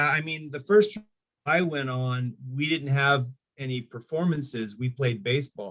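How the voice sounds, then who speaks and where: With an American accent and ordinary pitch variation, this is an unremarkable speaking voice. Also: man. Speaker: stand-up comedian and voice-over actor. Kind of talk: interview answer, casual storytelling.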